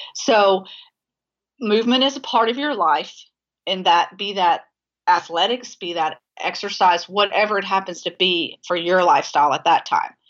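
The speaker has an unremarkable speaking voice with ordinary pitch variation at a moderate pace. The background is quiet. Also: woman, medium pitch for a woman. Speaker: dietitian and sports nutrition expert. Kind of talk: casual interview conversation. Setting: phone call.

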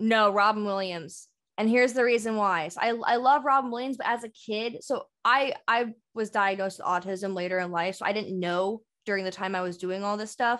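A woman with an unremarkable speaking voice talks at a fairly high pitch with ordinary pitch variation against a quiet background. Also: fairly quick pace. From US West Coast, San Francisco Bay Area. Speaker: comedian and social media creative director. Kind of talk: casual chat.

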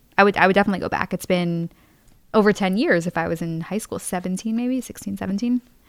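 In a very clean recording with a silent background and a dry, close sound with no echo, a woman uses a normal speaking voice at a medium pitch, with ordinary pitch variation and a fairly quick pace. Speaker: student. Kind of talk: casual chat. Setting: studio.

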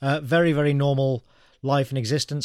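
A man with an English Midlands accent speaks at a medium pitch and a fairly quick pace. His intonation is fairly even, and the recording is very clean with a silent background. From English Midlands (Birmingham area). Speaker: graphic novelist and writer. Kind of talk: interview.

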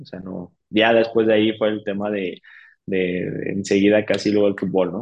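Monotone, flat intonation carries this man's speech. His voice is fairly low and his pace moderate. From Mexico, San Luis de la Paz, Guanajuato. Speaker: cycling coach and nutritionist. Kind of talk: interview. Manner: halting, many fillers and repeats.

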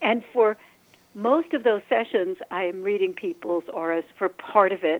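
In an ordinary speaking voice, a woman talks at a medium pitch with lively intonation. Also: fairly slow pace. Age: 60s. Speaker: energy healer and face reader. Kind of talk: interview.

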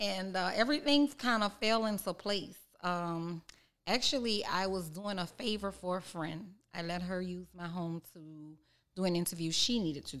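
A very clean recording with a silent background: a normal speaking voice, moderate in pace, ordinary in pitch variation. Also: woman, medium pitch for a woman. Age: 40s. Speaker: chef and cookbook author. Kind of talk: casual interview.

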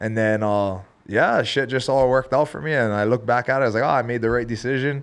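With a Hawaiian accent, a man of medium pitch speaks at a very fast pace and with fairly even intonation. The background is quiet. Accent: Hawaiian local English. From Hawaii, Big Island (Hilo). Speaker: professional MMA fighter. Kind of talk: casual chat.

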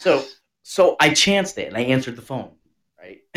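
Vocal fry runs through this animated American-accented voice at a moderate pace. Its pitch swings very widely. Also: man. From US Northeast. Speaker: podcast co-host. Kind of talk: casual chat.

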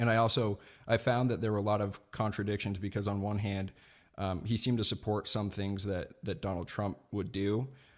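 With a normal speaking voice, a man talks at a fairly quick pace in a fairly low pitch and fairly even intonation, in a very clean recording with a silent background. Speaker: political podcaster and libertarian. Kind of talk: casual interview.

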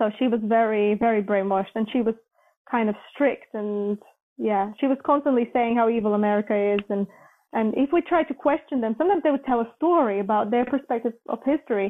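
A woman speaks with a Latvian accent. Her pitch is fairly high. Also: ordinary pitch variation, fairly quick pace. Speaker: former journalist, NATO employee, traveller. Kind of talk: casual interview, travel storytelling.

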